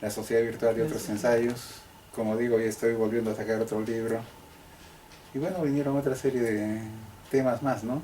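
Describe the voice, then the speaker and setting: A man at a medium pitch, with long, frequent pauses and audible room echo. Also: fairly even intonation, moderate pace. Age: 60s. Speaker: sociologist and historian, professor. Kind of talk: interview.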